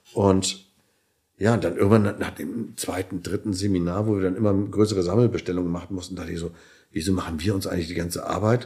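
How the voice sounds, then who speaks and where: A man's very deep, low voice, dark and mellow in tone, somewhat breathy, with fairly even intonation and a very fast pace. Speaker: chiropractor and entrepreneur. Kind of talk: interview. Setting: hotel room.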